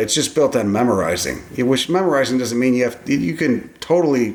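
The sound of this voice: Lively intonation marks a man's fairly quick delivery.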